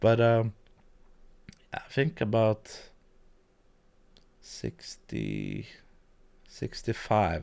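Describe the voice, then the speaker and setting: With little else audible around him, a man talks. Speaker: video editing youtuber. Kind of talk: live-stream tutorial. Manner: hesitant, many fillers; quiet at times. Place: home room. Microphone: studio mic.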